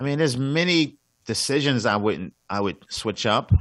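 A man talks in a New York accent at a moderate pace. His pitch variation is ordinary, and the background is quiet. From Brooklyn, New York. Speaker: comedian. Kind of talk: casual chat.

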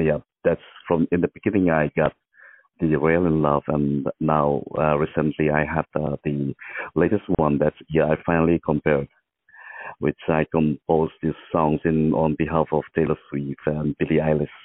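Very deep and low in pitch, a man speaks at a moderate pace with monotone, flat intonation and very even loudness. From India, Mizoram (northeast). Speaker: musician. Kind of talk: phone interview. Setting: phone call. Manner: halting.

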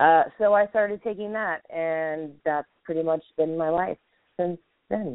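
Fairly slow and fairly low-pitched, a woman talks with ordinary pitch variation in an unremarkable speaking voice. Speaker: guest with chronic illness. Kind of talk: casual chat.

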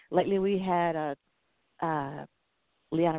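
With a Southern US accent, a woman speaks in a very deep, low pitch. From US South. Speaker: podcast host. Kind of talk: casual interview.

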